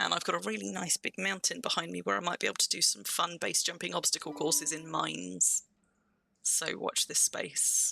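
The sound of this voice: Putting on a character voice, a man talks at a fairly quick pace in a hoarse, croaky voice with a fairly high pitch.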